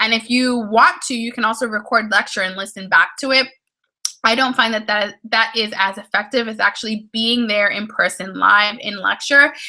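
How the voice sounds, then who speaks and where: A woman talks at a moderate tempo, her intonation fairly even. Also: fairly high pitch for a woman. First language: Spanish. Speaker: study skills YouTuber. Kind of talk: casual chat. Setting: livestream at home while getting ready. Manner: casual with frequent fillers and restarts.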